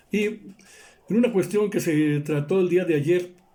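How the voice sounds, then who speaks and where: The speaker is a man. He has a dark, mellow tone. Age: 60s. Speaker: political commentator. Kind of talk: news commentary monologue.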